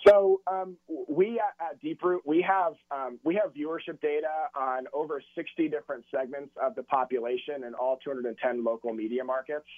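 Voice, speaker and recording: An ordinary speaking voice from a man with an American accent, fairly high in pitch, with ordinary pitch variation and a moderate pace. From California. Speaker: data analytics director, former college football kicker. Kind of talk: radio interview.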